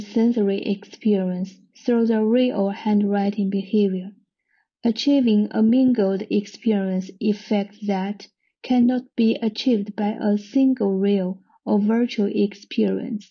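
A woman with a Chinese accent speaks at a fairly slow pace in a medium pitch, her voice somewhat breathy. Her loudness stays very even and her intonation fairly even. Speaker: art and design researcher. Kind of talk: recorded conference presentation.

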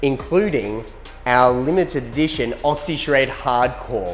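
A man's voice with ordinary pitch variation over faint music in the background. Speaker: presenter. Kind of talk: promotional outro to camera. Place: studio. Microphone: lapel.

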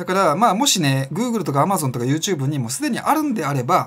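A man's fairly high-pitched voice moves through very wide pitch swings. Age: 40s. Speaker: self-employed business vlogger; freelance business vlogger. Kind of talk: casual monologue vlog. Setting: home studio with camera and lights. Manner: filler-heavy, rambling delivery. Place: home room.

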